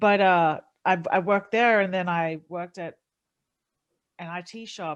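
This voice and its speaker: In an Australian accent, a woman speaks at a fairly low pitch. Her pace is moderate and her intonation fairly even. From Australia, city. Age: 30s. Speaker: MMA fighter and streamer. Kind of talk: casual podcast interview. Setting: podcast.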